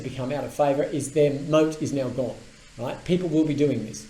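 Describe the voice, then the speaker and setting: A man with an Australian accent talks at a fairly quick pace and a fairly high pitch, with noticeable background noise and audible room echo. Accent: Australian twang. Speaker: tech commentator and business owner. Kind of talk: casual explainer video with screen demo. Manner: animated.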